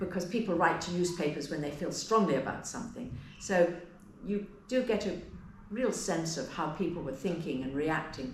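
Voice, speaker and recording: Amid noticeable background noise and audible room echo, a woman with a fairly low pitch speaks at a moderate pace with lively intonation. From England. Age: 70s. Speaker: historian. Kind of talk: interview.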